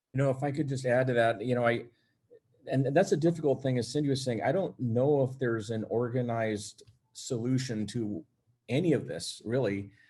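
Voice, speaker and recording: A dark, mellow, somewhat breathy voice moves at a fairly quick pace. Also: man, medium pitch for a man, ordinary pitch variation. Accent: American. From San Jose, California. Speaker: police officer, panelist. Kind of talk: panel discussion. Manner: halting.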